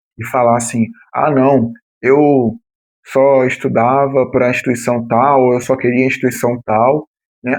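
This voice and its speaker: In a Rio de Janeiro accent, a man speaks at a medium pitch. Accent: Rio de Janeiro (carioca). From São Paulo city, Brazil. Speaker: former municipal guard, exam-prep youtuber. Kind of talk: explanatory talk to camera. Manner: casual, with many fillers.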